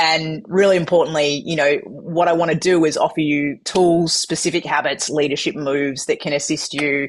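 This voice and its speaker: In an energetic tone, a woman with an Australian accent speaks at a fairly quick pace. Her pitch is very deep and low. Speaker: keynote speaker. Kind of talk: interview.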